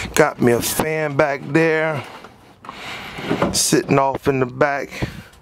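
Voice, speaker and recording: With noticeable background noise, a man speaks at a very slow pace. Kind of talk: casual vlog chat. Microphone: phone near.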